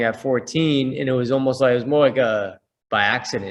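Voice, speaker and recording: This man has an ordinary speaking voice with an American accent, medium pitch and ordinary pitch variation. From US Northeast, Boston. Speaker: boxing coach and fitness entrepreneur. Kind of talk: interview.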